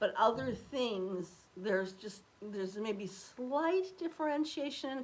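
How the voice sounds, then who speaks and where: At a fairly slow pace, a woman talks in a normal speaking voice with ordinary pitch variation. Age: 60s. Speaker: beauty vlogger. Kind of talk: casual chat.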